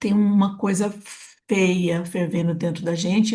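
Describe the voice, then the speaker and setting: Against a quiet background, a woman speaks at a moderate pace in a medium pitch, somewhat breathy, with a dark, mellow tone and fairly even intonation. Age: 70s. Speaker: podcast host. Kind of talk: interview conversation.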